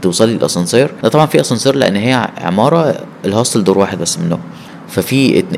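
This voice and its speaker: A man at medium pitch, fairly quick in pace, his pitch swinging very widely over noticeable background noise. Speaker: solo traveler. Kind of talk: casual chat.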